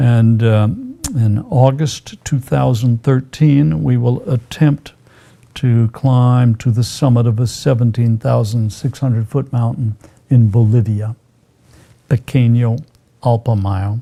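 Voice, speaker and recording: Speaking very slowly with an American accent, a man uses a medium-pitched, somewhat breathy voice with a dark, mellow tone, ordinary pitch variation and very even loudness. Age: 70s. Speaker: physician. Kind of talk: interview. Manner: hesitant, many fillers.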